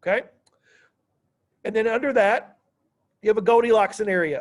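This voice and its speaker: A loud man talks at a fairly quick pace. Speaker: high school history teacher. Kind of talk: classroom lecture. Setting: classroom. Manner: animated.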